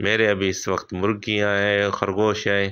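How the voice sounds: A man speaks at a moderate pace with fairly low pitch and a clear, smooth, fairly bright tone. His intonation is monotone and flat.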